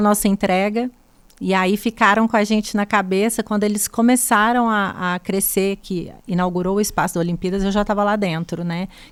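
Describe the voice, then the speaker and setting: In a Minas Gerais accent, a woman at medium pitch speaks at a fairly quick pace with monotone, flat intonation. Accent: mineiro. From Brazil, Minas Gerais (Três Pontas). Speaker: buffet founder and chef. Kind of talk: podcast interview.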